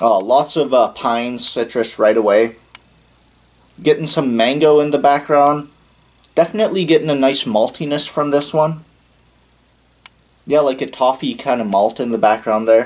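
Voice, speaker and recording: Spoken at a moderate pace with ordinary pitch variation, the voice breaks often into long pauses. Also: man. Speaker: beer reviewer. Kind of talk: casual review commentary. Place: home room. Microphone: camera far.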